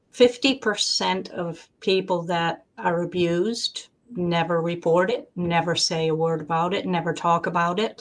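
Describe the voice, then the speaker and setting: A plain, everyday voice moves at a fairly slow pace with ordinary pitch variation. Hardly any pauses break the speech. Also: woman, fairly low pitch for a woman. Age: 60s. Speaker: debut author. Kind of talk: interview. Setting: live stream.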